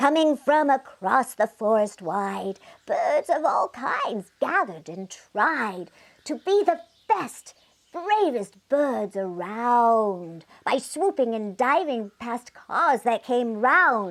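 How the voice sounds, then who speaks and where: A put-on character voice at a very slow pace. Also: female-sounding voice, high pitch for a woman. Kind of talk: bedtime story. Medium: read story. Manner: animated, rhyming cadence.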